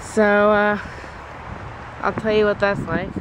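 Faint background noise sits behind a man whose tone is fairly bright.

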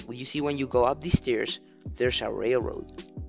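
A man's lively intonation at a moderate pace, with music in the background. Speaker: gaming video creator. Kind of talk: video game commentary voiceover.

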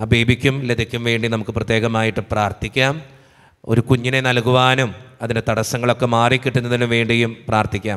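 Flat, monotone intonation against a quiet background. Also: man. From Kerala, India. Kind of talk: prayer service, reading out prayer requests. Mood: calm devotional. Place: church. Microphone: podium.

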